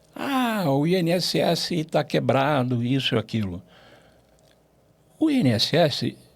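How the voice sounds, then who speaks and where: Vocal fry marks a man's fairly high voice, which swings very widely in pitch. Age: 70s. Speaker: finance executive. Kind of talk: interview. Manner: animated.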